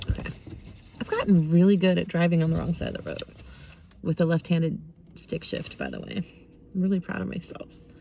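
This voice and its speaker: Amid noticeable background noise, a woman talks at a very fast pace yet takes long, frequent pauses. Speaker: tarot and oracle card reader. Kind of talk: casual card reading vlog with reading aloud. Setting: in a parked car.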